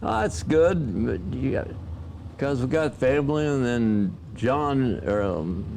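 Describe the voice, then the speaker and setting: At a very slow pace, a man with a medium pitch speaks with very wide pitch swings amid audible room echo. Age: 90s. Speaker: drag racing driver and team owner. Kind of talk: interview reminiscing.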